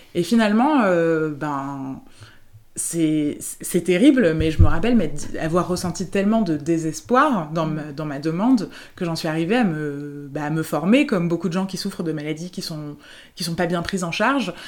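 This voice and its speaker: Pitched fairly low with ordinary variation, a woman with an unremarkable speaking voice talks at a moderate pace. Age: 30s. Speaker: therapist. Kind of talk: interview.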